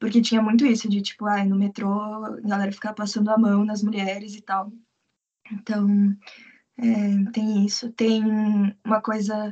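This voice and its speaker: Her voice fairly high, somewhat breathy and dark and mellow in tone, a woman speaks in a flat monotone broken by long, frequent pauses. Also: moderate pace. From Brazil, Curitiba. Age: 20s. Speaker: English teacher living abroad. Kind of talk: casual interview.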